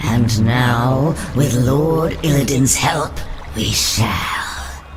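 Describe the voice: A woman uses a put-on character voice with an extremely low pitch and ordinary pitch variation, speaking at a very slow pace. Audible room echo and clear music sit in the background.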